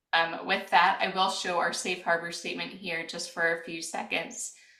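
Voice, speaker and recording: Soft-spoken and at a moderate pace, a woman talks amid audible room echo. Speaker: webinar host, product manager. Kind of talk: webinar presentation. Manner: hesitant, many fillers.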